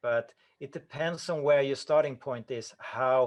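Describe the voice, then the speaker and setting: With a Swedish accent, a man speaks at a fairly slow pace and varies his pitch in an ordinary way. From Sweden. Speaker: breathing coach. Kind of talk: Q&A answers at an online conference. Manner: halting, with self-corrections.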